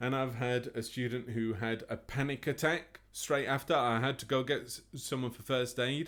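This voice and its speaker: At a moderate pace, a man in an English accent speaks with medium pitch and fairly even intonation. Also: hardly any pauses. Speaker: music teacher. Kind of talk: interview.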